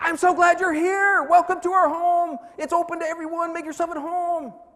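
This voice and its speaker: A man's loud, menacing put-on character voice at an extremely high pitch. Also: moderate pace. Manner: very loud, sweet words that sound menacing; friendly words delivered with a threatening force.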